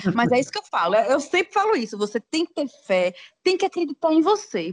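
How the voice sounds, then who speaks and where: Her pitch is high and swings very widely. The woman talks at a fairly quick pace with a dry, close sound and no echo. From Aracaju, Sergipe, northeast Brazil. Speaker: psychologist and travel blogger. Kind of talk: casual interview.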